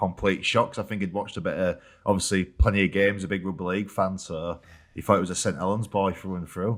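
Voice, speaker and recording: In a Yorkshire accent, a man rattles off words very fast in a fairly low, monotone, flat voice on a very clean recording with a silent background. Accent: Yorkshire (Hull). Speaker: rugby league player. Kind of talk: casual chat.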